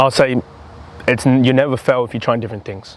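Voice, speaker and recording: A man with an Australian accent at medium pitch, recorded dry and close with no echo. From Australia, Campbelltown (Sydney). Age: 20s. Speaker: footy content creator. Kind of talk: casual chat. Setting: outdoors.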